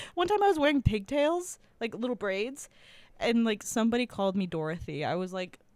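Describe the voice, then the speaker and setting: On a very clean recording with a silent background, a woman with an American accent talks at a fairly quick pace in an animated tone, her fairly high pitch making very wide swings. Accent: Midwestern accent, some East Coast words. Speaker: podcast co-host. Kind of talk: casual chat.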